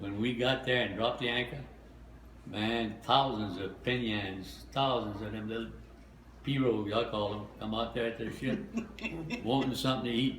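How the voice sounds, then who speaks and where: Against noticeable background noise, a man speaks at a medium pitch and moderate pace with ordinary pitch variation. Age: 80s+. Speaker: war veteran. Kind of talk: interview answer.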